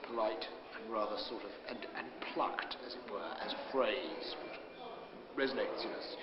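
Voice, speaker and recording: Loud background noise surrounds a man talking at a moderate pace. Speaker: comedian and television presenter. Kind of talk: interview answer. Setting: bookshop. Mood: reflective, earnest about poem. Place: hall.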